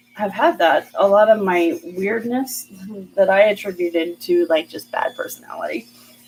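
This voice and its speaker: A woman speaks with lively intonation over noticeable background noise. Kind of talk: casual live stream chat while crafting. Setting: live video stream. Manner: fast; word-finding pauses, hesitant.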